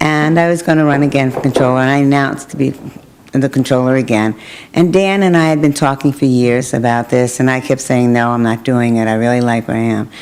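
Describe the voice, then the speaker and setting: Over noticeable background noise, a woman with a Brooklyn accent speaks very fast in a very deep, low pitch, with ordinary pitch variation and very even loudness. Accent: New York (Brooklyn). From Brooklyn, New York. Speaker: politician. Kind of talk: interview.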